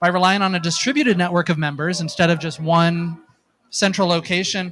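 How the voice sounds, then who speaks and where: A man with an American accent talks at a very fast pace. His pitch is high. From United States. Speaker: nonprofit drone network representative. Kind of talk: conference presentation. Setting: stage with audience. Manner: hesitant, many fillers.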